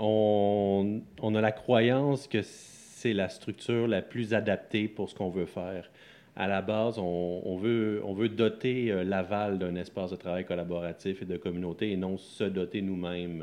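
At a very slow pace, a man talks with a fairly low pitch and fairly even intonation. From Quebec, Sorel area. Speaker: co-founder of a coworking space. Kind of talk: interview.

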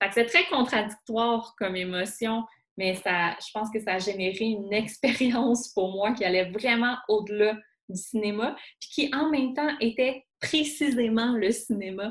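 A somewhat breathy woman with a Quebec accent, a fairly high pitch, ordinary pitch variation and a fairly slow pace. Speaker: author and columnist. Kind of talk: casual interview about films.

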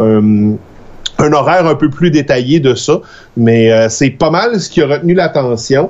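A man with a Quebec accent speaks fairly slowly, his fairly high pitch showing ordinary variation. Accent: Québécois French. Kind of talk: casual live show chat. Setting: video call.

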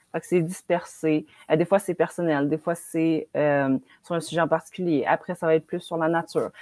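A woman's fairly low, dark and mellow voice at a moderate pace, monotone and flat, with a dry, close sound and no echo. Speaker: book YouTuber. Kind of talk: casual chat.

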